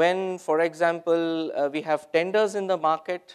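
A man speaks at a fairly slow pace against a quiet background. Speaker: presenter. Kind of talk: conference talk. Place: hall.

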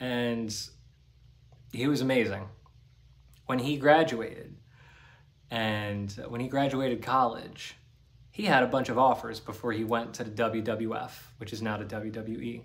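A man with an American accent, fairly even intonation and long, frequent pauses. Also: fairly slow pace. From New Jersey / Staten Island, US; New Jersey. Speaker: spiritual healer and YouTuber; spiritual vlogger. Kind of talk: solo monologue to camera. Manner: casual. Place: home room. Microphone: phone near.

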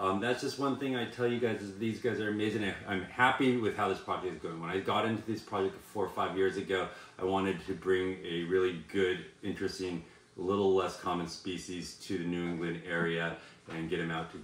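Room echo can be heard in the recording. The talking is rather brisk, with normal pitch movement. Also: man, very deep, low pitch for a man. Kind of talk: casual vlog chat. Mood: enthusiastic, upbeat. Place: home room.

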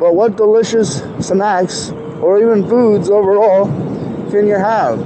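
Noticeable background noise runs under this recording. A man talks in a voice that is high in pitch. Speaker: rider vlogger. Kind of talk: casual vlog chat. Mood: relaxed, joking. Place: street. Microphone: lapel.

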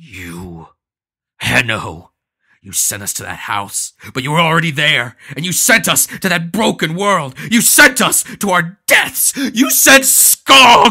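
This put-on character voice growls at a middle pitch and moves at a fairly slow pace. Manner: growling, halting, confused.

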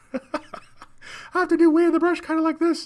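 Someone puts on a squeaky character voice at an extremely high pitch, speaking at a moderate pace in a monotone, flat intonation. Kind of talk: casual livestream chat. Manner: comical. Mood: amused, smiling.

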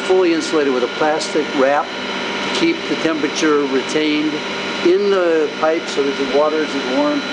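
Loud background noise behind a man's moderately paced speech. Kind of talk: tour guide explanation. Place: factory.

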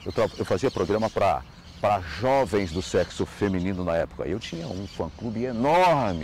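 A man's fairly low voice with vocal fry, very wide pitch swings and a fairly slow pace, dry with no echo, over light background noise. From Ceará, northeast Brazil. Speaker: radio presenter. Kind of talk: recorded video testimony. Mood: warm, nostalgic, amused. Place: garden.

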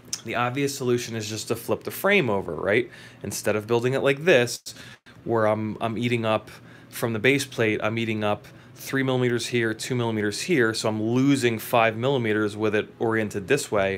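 A man talks fairly quickly, his intonation fairly even, with light background noise behind him. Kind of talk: tutorial. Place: workshop. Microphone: phone near.

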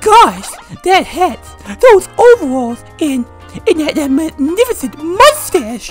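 A put-on character voice at an extremely high pitch swings very widely in pitch at a very slow pace, with clear music playing in the background. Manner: warm, friendly, cheerful.

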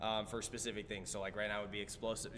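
The speaker is a man with a fairly low pitch. Light background noise can be heard. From Nebraska, US Midwest. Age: 20s. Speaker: martial artist; interviewee. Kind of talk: interview. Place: studio.

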